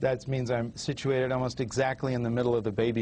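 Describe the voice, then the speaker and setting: Talking at a very fast pace, a man with an American accent keeps a medium pitch. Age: 40s. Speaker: author. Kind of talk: TV interview. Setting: TV studio with small audience.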